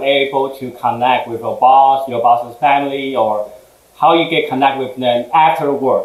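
Amid noticeable background noise and audible room echo, a man talks at a moderate pace in a fairly high voice with ordinary pitch variation. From Taiwan, moved to Houston at 15. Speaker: food business owner, former engineer. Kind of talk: interview chat.

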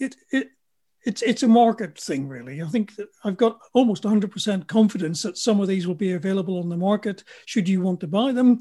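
On a very clean recording with a silent background, a man with a British accent speaks fairly quickly in a high voice with a dark, mellow tone and ordinary pitch variation. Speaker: futurologist and engineer. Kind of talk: interview.

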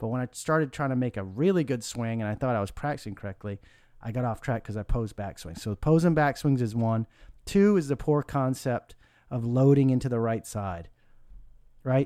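On a very clean recording with a silent background, a man with an unremarkable speaking voice talks at a fairly quick pace with lively intonation. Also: medium pitch for a man. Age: 40s. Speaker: golf instructor. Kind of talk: casual instructional chat.

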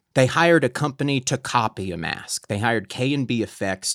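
A man with a plain, everyday voice talks at a fairly quick pace with lively intonation, recorded very cleanly against a silent background with a dry, close sound and no echo. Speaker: podcast host. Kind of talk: casual chat. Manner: excitable.

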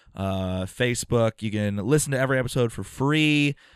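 In an ordinary speaking voice, a man talks at a medium pitch with ordinary pitch variation, the sound dry and close with no echo against a quiet background. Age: 30s. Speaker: podcast co-host and stand-up comedian. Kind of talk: casual chat.

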